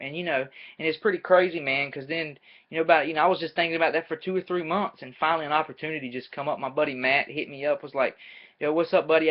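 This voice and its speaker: With a Southern US accent, a man talks at a very fast pace and a fairly high pitch. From US South, North Carolina. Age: 20s. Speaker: amateur MMA fighter and student. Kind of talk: casual webcam vlog. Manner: casual, energetic.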